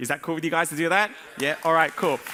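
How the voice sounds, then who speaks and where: A man talks very fast in a bright, sharp tone. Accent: Australian. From Australia. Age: 40s. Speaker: business coach. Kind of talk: conference talk. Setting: stage with audience.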